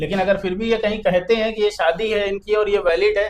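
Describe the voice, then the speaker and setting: This is a man with a high-pitched voice. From Uttar Pradesh, Kanpur. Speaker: lawyer. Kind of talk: interview discussion.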